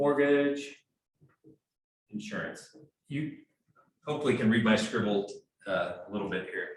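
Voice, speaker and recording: With lively intonation and a fairly high pitch, a man talks at a moderate pace, leaving long, frequent pauses, in audible room echo. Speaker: mortgage loan officer. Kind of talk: training presentation.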